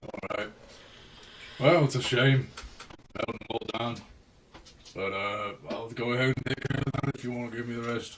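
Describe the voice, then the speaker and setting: A man in a put-on character voice speaks at a moderate pace and medium pitch, raspy, with long, frequent pauses. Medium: actual play. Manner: blunt, casual.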